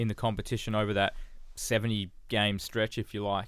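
A man with a medium pitch talks fairly quickly. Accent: Australian. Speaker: sports journalist. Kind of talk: casual chat.

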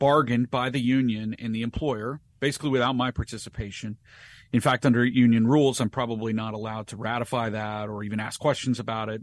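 A man with an ordinary speaking voice talks at a fairly quick pace and medium pitch. His intonation is fairly even, and the background is quiet. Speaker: attorney and advocacy group counsel. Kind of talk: interview.

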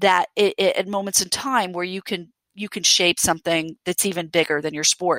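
A woman with an American accent uses a normal speaking voice at medium pitch and with fairly even intonation. The sound is dry and close with no echo, on a very clean recording with a silent background. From Aruba and Venezuela, then New York. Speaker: sports league commissioner. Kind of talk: interview, casual chat.

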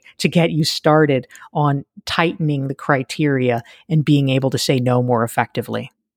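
This woman has a very deep, low pitch and speaks with an American accent at a moderate pace. Her loudness stays very even, and her pitch varies in an ordinary way. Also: dry, close sound with no echo. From US South, North Carolina. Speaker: leadership consultant and author. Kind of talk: interview conversation.

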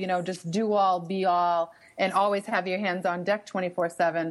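With a slight Boston accent, a woman talks at medium pitch in a monotone, flat intonation. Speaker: professor and author. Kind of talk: radio interview.

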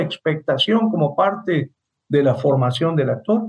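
This man speaks at a very slow pace. His intonation is lively. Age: 60s. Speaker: radio host, theatre critic. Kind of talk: interview. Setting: radio, remote call with guest.

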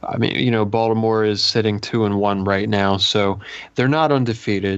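In an ordinary speaking voice, a man talks at a moderate pace with a fairly low pitch and fairly even intonation. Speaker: podcast co-host, fantasy player. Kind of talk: casual sports podcast chat.

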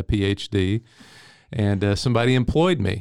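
With a Texan accent, a man talks at a moderate pace and fairly low pitch, with ordinary pitch variation. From East Texas (Henderson). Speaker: history professor. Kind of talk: interview.

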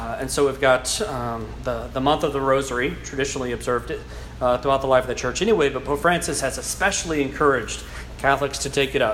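Speaking at a fairly quick pace in a South Louisiana accent, a man is heard with audible room echo and noticeable background noise. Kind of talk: lecture. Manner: halting.

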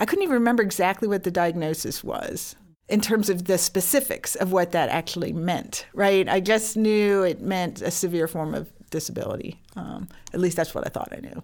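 At a moderate pace, a woman speaks with medium pitch. She has a plain, everyday voice. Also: ordinary pitch variation. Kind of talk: interview testimony. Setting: studio.

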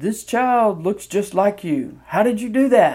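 A put-on character voice with fairly high pitch moves at a fairly slow pace. The recording is very clean, with a silent background.

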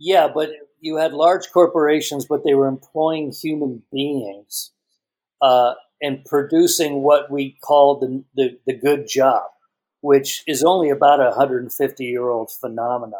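This man has a normal speaking voice. His pitch sits fairly high. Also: ordinary pitch variation, fairly slow pace. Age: 60s. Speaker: tech journalist and author. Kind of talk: interview.

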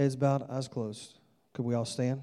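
A man with a Southern US accent speaks at a fairly quick pace, his medium-pitched voice dark and mellow in tone. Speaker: visiting evangelist preacher. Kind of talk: sermon, then an altar-call invitation. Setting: church with congregation. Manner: animated, urgent preacher in full flow, pleading and direct.

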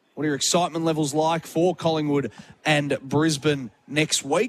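This man has a fairly high pitch. He talks with an Australian accent. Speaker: sports radio host. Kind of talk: live sports radio talkback. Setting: radio studio at a public venue.

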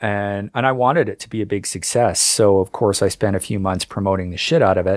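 Speaking at a fairly quick pace, a man uses an ordinary speaking voice with a Canadian accent and fairly low pitch. The sound is dry and close with no echo, on a very clean recording with a silent background. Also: ordinary pitch variation. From Canada. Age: 50s. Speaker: author and history writer. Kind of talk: interview.

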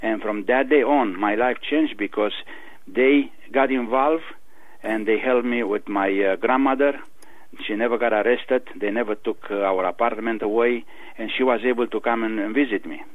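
With a Romanian accent, a man talks at a moderate pace and medium pitch, keeping his intonation fairly even. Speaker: author. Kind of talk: interview.

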